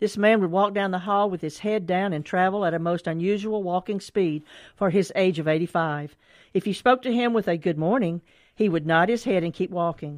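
With a Mississippi accent, a woman speaks at a fairly quick pace with ordinary pitch variation. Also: medium pitch for a woman. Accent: US Southern (Mississippi). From Mississippi (Canton). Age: 70s. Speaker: author and senior activity director. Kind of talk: book reading and interview.

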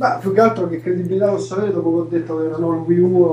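Noticeable background noise sits under a man talking very fast with ordinary pitch variation. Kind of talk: casual chat. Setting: video call. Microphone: audio glitches on call.

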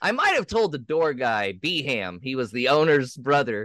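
A man speaks at a moderate pace in a bright, sharp tone. His pitch swings very widely. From Texas, Houston. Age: 30s. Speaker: stand-up comedian. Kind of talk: casual interview.

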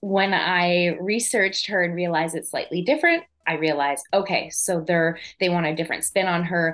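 A woman speaks in a fairly low pitch. Music plays in the background. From Quebec, south of Montreal. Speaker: actress. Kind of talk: interview. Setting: live online show.

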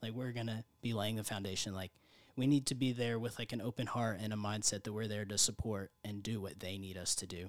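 On a very clean recording with a silent background, a man with a plain, everyday voice and fairly low pitch talks at a fairly quick pace with fairly even intonation. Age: 20s. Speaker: mission trip volunteer. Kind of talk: interview. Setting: studio.

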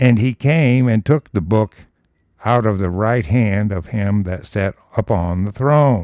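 A man's ordinary speaking voice, fairly low in pitch with ordinary pitch variation, at a fairly slow pace, in a dry, close sound with no echo over a quiet background. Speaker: Bible teacher reading scripture with commentary. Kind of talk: Bible study: scripture reading with commentary. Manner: conversational, informal teaching tone with fillers.

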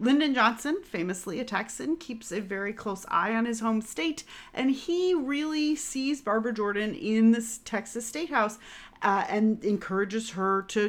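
Against a quiet background, a woman with a fairly high pitch speaks with lively intonation. It is an ordinary speaking voice. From US Northeast. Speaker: podcast co-host, tour guide. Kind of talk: casual history chat.

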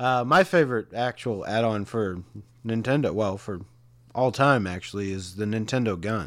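In a plain, everyday voice, the speaker goes at a moderate pace with ordinary pitch variation. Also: man, fairly low pitch for a man. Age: 40s. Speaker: podcast host. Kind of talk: casual chat.

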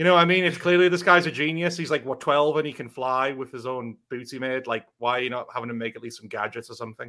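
A man with a British accent talks at a very fast pace with hardly any pauses, his medium pitch showing ordinary variation. His tone is bright and sharp, his loudness swings widely, and the recording is very clean with a silent background. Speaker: podcast host. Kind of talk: casual banter podcast. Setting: live stream.

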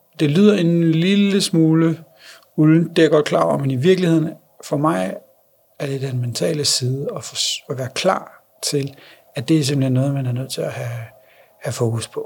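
A somewhat breathy man's voice, fairly high in pitch with ordinary pitch variation, at a moderate pace with long, frequent pauses. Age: 30s. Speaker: blind father. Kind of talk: interview. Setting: on location.

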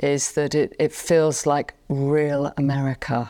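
A woman's very deep, low voice, dark and mellow in tone, with a London accent, on a very clean recording over a silent background. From England. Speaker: pet communicator and pianist. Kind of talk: casual interview. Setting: in a friend's living room.

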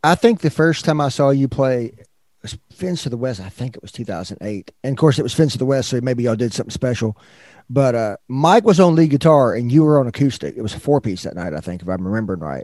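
Talking at a very fast pace with big swings in loudness, a man with a medium pitch and a dark, mellow tone speaks in a Southern US accent. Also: lively intonation. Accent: Southern American. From US South, Northwest Arkansas. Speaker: podcast host. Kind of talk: interview. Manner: halting.

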